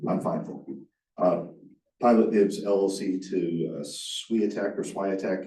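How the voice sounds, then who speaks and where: A man's fairly low-pitched, dark, mellow voice at a very slow pace, with fairly even intonation and audible room echo. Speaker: county attorney. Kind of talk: public meeting report. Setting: county board meeting. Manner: halting, many fillers.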